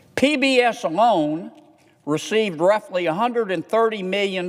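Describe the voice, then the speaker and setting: A man with a Southern US accent. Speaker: US senator. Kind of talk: Senate floor speech.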